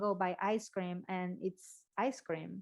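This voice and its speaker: Against a quiet background, a woman talks with a non-native accent. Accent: foreign. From Mexico City. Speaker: podcast host, health coach. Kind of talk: casual chat.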